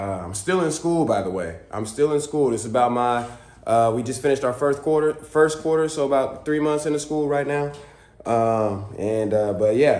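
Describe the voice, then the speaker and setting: Moderate pace with audible room echo. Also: man, lively intonation. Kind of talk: casual vlog chat. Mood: excited, upbeat. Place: garage. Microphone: phone near.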